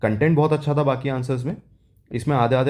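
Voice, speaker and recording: A man speaks in a dark, mellow tone. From South India. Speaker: exam aspirant vlogger. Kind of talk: casual vlog, exam experience. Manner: hesitant, with fillers.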